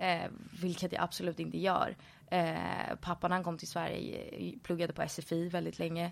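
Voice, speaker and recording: At a moderate pace, a woman talks in a very clean recording with a silent background. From Stockholm, Sweden. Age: 20s. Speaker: influencer. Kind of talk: interview.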